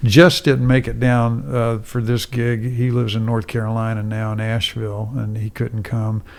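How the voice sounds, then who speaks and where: A man's medium-pitched, unremarkable speaking voice, with fairly even intonation and hardly any pauses. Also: moderate pace. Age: 60s. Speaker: musician. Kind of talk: casual chat. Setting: studio.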